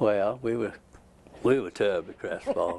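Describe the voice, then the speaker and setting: A man with a Georgia accent. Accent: Southern American (Georgia). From Georgia, USA. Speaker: retired ceramic engineer, Georgia Tech alumnus. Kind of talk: oral history interview answer. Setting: at home.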